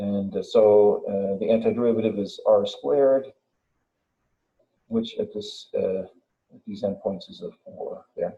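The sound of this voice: Mumbling in a put-on character voice at a medium pitch, a man talks at a moderate pace broken by long, frequent pauses.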